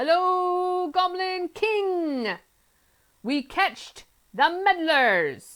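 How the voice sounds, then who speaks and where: Putting on a character voice, a woman speaks at an extremely high pitch and a very slow pace. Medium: read story. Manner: clipped broken grammar.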